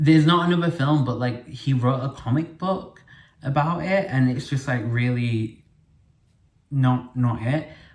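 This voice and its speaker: This man talks at a fairly slow pace in a medium pitch with ordinary pitch variation. His voice is somewhat breathy. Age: 20s. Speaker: podcast host. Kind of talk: casual monologue. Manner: chatty, filler-heavy.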